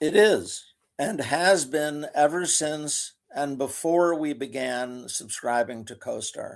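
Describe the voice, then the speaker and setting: A man's fairly high voice at a very slow pace, with lively intonation and big swings in loudness. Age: 70s. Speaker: commercial real estate broker. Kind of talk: interview.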